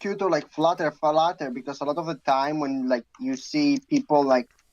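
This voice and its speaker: The speaker has a Greek accent. Their pitch swings very widely. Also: man. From Greece. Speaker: guest gamer. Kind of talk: casual chat. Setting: livestream.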